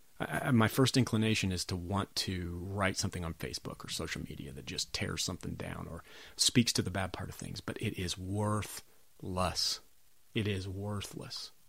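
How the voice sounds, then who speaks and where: A man's fairly low voice with ordinary pitch variation at a moderate pace, on a very clean recording with a silent background. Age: 40s. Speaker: podcast host. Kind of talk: solo podcast monologue. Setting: home recording in a log cabin. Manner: casual, with many filler words.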